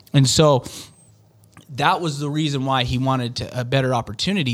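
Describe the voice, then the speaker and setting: With a Western US accent, this man talks at a medium pitch with ordinary pitch variation on a very clean recording over a silent background. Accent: American, Western US. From Utah. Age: 40s. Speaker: door-to-door sales manager. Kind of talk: interview.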